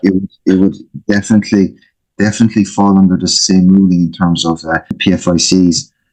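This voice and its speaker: Music plays in the background as a man with an Irish accent speaks at a fairly quick pace. His very deep, low voice stays monotone and flat. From Ireland. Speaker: financial planner. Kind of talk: interview. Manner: hesitant, many fillers.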